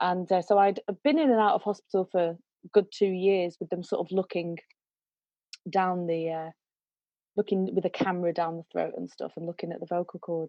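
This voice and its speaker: A woman speaks at a fairly quick pace in a British accent, her pitch medium. Her speech has long, frequent pauses. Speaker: singer and vocal coach. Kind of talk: interview storytelling. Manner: animated.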